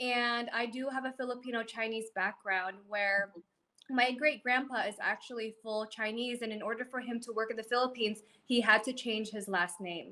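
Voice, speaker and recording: A woman speaks at a moderate pace with a fairly high pitch, a bright, sharp tone and fairly even intonation. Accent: American. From Alaska, Ketchikan. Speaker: brand mentor, entrepreneur. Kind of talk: interview.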